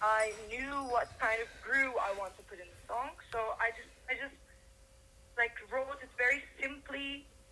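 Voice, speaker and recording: A woman with a high voice and ordinary pitch variation speaks at a moderate pace through noticeable background noise. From Turkey, Izmir. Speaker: singer-songwriter. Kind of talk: interview. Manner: halting.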